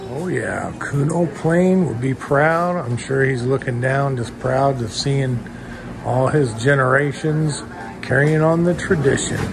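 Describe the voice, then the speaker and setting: A fairly slow delivery over noticeable background noise. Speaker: bakery reviewer vlogger. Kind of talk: casual vlog chat. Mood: enthusiastic, friendly. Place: shop. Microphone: phone near.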